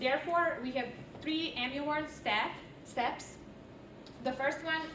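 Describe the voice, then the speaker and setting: A woman with a non-native accent speaks at a moderate pace. Noticeable background noise and audible room echo are present. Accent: foreign. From outside the US. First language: not English. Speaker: university student. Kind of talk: class presentation.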